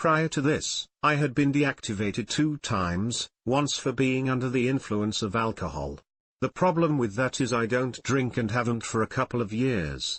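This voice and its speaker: At a fairly slow pace, a man with a plain, everyday voice talks at medium pitch with ordinary pitch variation. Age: 60s. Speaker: rideshare driver. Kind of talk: personal commentary monologue.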